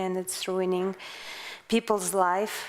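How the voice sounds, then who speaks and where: Her intonation monotone and flat, a woman with a Russian accent speaks at medium pitch. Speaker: investigative journalist and author. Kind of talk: interview on stage. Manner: halting.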